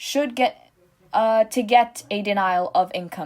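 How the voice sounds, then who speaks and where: On a very clean recording with a silent background, a woman speaks with a non-native accent at a fairly high pitch. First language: not English. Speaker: small animation content creator. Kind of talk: commentary monologue.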